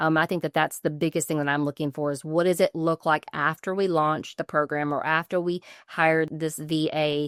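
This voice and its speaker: A woman with a Southern US accent, very deep and low in pitch, monotone and flat at a moderate pace with hardly any pauses, in a dry, close sound with no echo and a very clean recording with a silent background. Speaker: legal business coach and consultant. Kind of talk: podcast interview.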